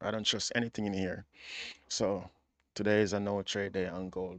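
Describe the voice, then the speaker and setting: Against a quiet background, a man speaks with fairly even intonation. His pitch is very deep and low. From Jamaica. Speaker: forex day trader livestreamer. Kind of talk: live trading commentary and chat. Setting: livestream. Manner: casual, repetitive slangy talk.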